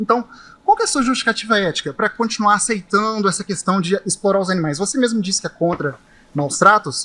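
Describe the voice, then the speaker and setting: In a raised, projected voice, a man talks at a very fast pace, his high-pitched, bright, sharp tone showing ordinary pitch variation. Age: 20s. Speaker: vegan activist debater. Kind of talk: heated debate. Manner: animated.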